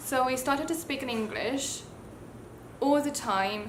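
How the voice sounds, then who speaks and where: A woman's high voice in a British accent at a fairly slow pace, with ordinary pitch variation, audible room echo and noticeable background noise. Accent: self-taught British. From Taiwan. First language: Mandarin Chinese. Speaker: YouTuber. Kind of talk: casual storytelling vlog.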